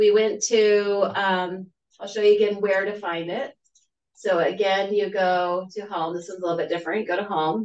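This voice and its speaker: Speaking at a moderate pace, a woman uses a plain, everyday voice. Her medium pitch has fairly even intonation. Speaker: webinar presenter. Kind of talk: tutorial.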